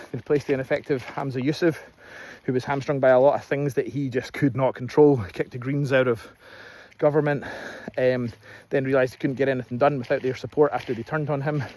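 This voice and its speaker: In a Scottish accent, a man talks at a fairly quick pace, his fairly high pitch paired with a dark, mellow tone and fairly even intonation. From Scotland. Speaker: political commentator. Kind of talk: casual political monologue. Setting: outdoors in fields. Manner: hesitant, many fillers.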